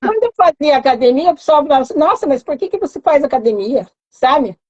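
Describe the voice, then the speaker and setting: A woman talks very fast in a high voice with very wide pitch swings. The sound is dry and close, with no echo. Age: 60s. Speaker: mentoring program participant. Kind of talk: live stream interview. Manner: halting.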